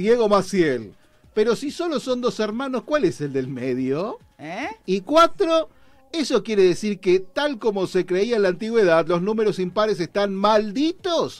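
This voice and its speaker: This man speaks with a Rioplatense accent at a fairly slow pace. His high voice makes very wide pitch swings. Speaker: radio show host. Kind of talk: casual chat. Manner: animated.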